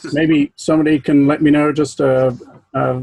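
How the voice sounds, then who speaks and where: Speaking with an American accent, a man has a dark, mellow tone, a fairly high pitch and monotone, flat intonation. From southern England, Berkshire. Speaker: planetarium professional, astronomy speaker. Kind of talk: club talk. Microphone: unstable connection.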